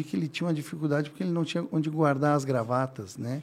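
The voice has a dark, mellow tone and sounds calm. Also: man. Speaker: furniture store owner. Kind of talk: interview.

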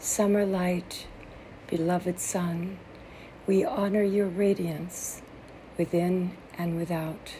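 The speaker uses a solemn tone at a very slow pace, with long, frequent pauses. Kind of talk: fervent prayer and poem reading, solemn and devotional. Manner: solemn, reverent, tender.

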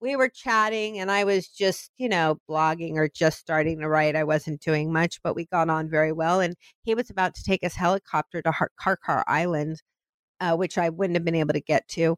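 In a very clean, dry and close recording with no echo and a silent background, a woman with an ordinary speaking voice talks at a moderate pace in a fairly low pitch, with ordinary pitch variation. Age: 50s. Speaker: event planner and solo travel blogger. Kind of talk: interview.

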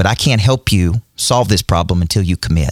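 Very fast speech in a Southern US accent. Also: man, dry, close sound with no echo. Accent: Southern pronunciation, says decide as D-side. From US South, Nashville, Tennessee. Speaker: business and performance coach. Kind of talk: casual interview. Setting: studio. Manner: intense.

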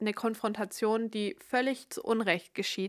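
A woman's monotone, flat delivery at a fairly slow pace. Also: dry, close sound with no echo, very clean recording, silent background. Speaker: podcast host. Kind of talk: casual solo monologue.

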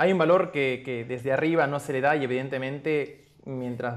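At a moderate pace, a man talks in an unremarkable speaking voice at medium pitch with fairly even intonation. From Peru, Arequipa. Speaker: podcast host, performing arts graduate. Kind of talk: casual chat.

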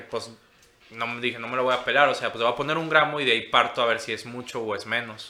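A man with an unremarkable speaking voice talks at a fairly quick pace and medium pitch, with fairly even intonation. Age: 20s. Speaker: cannabis edibles maker. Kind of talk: casual chat.

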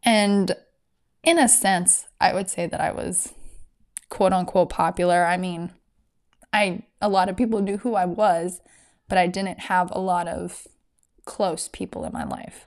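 A woman speaks fairly slowly at a medium pitch, with vocal fry and fairly even intonation. Long, frequent pauses break her speech on a very clean recording with a silent background. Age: 20s. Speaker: podcast host. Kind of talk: personal testimony.

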